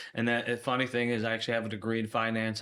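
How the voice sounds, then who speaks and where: In an American accent, the speaker's tone comes across bright and sharp. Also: man. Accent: Chicago accent, comes out at times. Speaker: logistics manager. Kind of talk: podcast interview.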